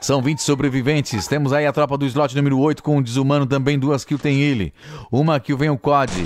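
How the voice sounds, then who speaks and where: Fairly high-pitched male voice, dry with no echo, over light background noise. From Brazil. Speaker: esports commentator. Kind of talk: esports live commentary. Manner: fast, excitable play-by-play, rising in intensity at kills; animated, joking, teasing tone. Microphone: studio mic.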